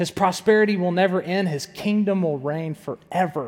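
A man with a high pitch talks at a moderate pace. His pitch variation is ordinary. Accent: American. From US South. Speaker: pastor. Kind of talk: sermon.

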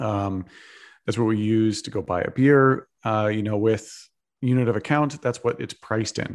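The clip has an ordinary speaking voice with fairly even intonation. Its pace is moderate. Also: man. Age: 30s. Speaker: Bitcoin investor and advocate. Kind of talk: interview.

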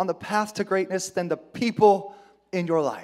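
High pitch and fairly even intonation from a man, delivered at a moderate pace. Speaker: pastor. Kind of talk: sermon. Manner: emotional-sounding.

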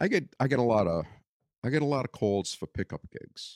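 With a strong Brooklyn accent, a man speaks at a moderate pace with lively intonation, in a dry, close sound with no echo and a very clean recording with a silent background. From Brooklyn, New York. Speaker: bassist, retired telecom worker. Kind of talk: casual conversation, storytelling. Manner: wisecracking, sarcastic.

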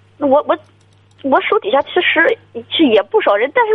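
A woman speaks at an extremely high pitch and a fairly quick pace. Her pitch swings very widely. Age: 30s. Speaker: sales manager. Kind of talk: phone-in call. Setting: phone call.

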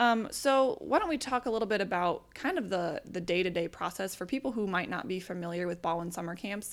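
Here a woman uses a normal speaking voice at a medium pitch, talking at a fairly quick pace with lively intonation and hardly any pauses. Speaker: podcast host. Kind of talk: casual interview chat. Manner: friendly, conversational.

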